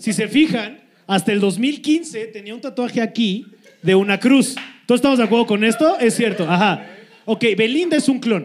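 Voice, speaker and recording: This man speaks at an extremely high pitch with ordinary pitch variation. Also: moderate pace. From Cuernavaca, Morelos, Mexico. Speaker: comedian, podcast co-host. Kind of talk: live comedy podcast chat. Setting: live show with audience.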